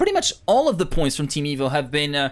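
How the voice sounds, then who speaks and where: A man talks at a very fast pace. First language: not English. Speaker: esports caster. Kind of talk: live commentary. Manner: animated.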